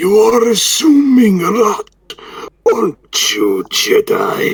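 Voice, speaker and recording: A man's put-on character voice, extremely high in pitch and very slow in pace. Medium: game stream. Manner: sneering.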